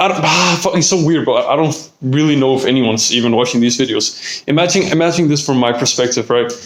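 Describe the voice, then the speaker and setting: With noticeable background noise behind him, a man talks at a fairly quick pace in a fairly high voice. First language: Danish. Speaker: vlogger. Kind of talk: casual vlog monologue. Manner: hesitant, many fillers.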